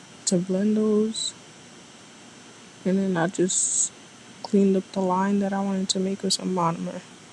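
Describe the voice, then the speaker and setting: A woman's flat, monotone delivery with long, frequent pauses, over noticeable background noise. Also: medium pitch for a woman, moderate pace. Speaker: nail artist. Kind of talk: tutorial.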